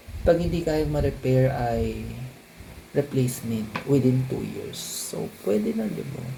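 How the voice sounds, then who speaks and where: With noticeable background noise and audible room echo, a man speaks at a fairly slow pace. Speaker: vlogger. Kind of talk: vlog talking to camera. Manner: casual, chatty.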